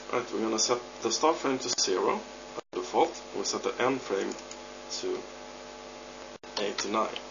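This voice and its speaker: A man with a non-native accent speaks at a moderate pace, leaving long, frequent pauses, over noticeable background noise. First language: not English. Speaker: 3D modder. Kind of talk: software tutorial narration. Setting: home recording, poor audio.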